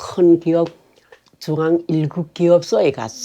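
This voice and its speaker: A woman is speaking here. Her pace is very slow. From Korean-Chinese, Yanbian region of China. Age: 80s+. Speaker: North Korean defector. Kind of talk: life story interview. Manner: halting.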